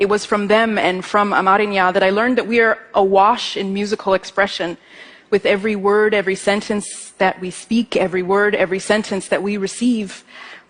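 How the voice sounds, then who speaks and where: A woman with an Ethiopian accent, medium pitch, monotone and flat intonation, and a fairly quick pace, over noticeable background noise. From Ethiopian family. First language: Amharic. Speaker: musician and composer giving a talk. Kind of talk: stage talk. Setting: stage with audience.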